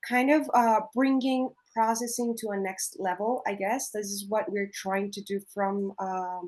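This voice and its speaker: With a Colombian accent, a woman speaks at a fairly high pitch and a fairly slow pace, her intonation fairly even, against a quiet background. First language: Spanish. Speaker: coffee producer. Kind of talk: panel discussion. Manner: halting, with many fillers.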